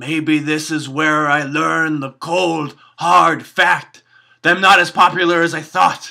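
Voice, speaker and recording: A man's raspy, cartoonish character voice, fairly high-pitched and at a fairly slow pace, in a very clean recording with a silent background. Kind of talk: comedy puppet vlog to camera.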